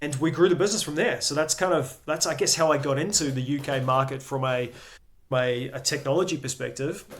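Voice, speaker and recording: The speech comes at a fairly quick pace, somewhat breathy, with ordinary pitch variation. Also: man, fairly high pitch for a man. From New Zealand. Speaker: business executive. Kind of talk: interview. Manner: hesitant fillers.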